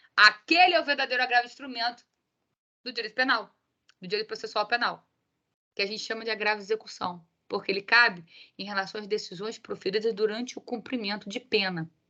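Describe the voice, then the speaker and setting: Delivered at a very fast pace with big swings in loudness and long, frequent pauses, the voice has a bright, sharp tone and ordinary pitch variation. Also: woman, fairly high pitch for a woman. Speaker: law professor. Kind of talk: lecture. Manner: animated.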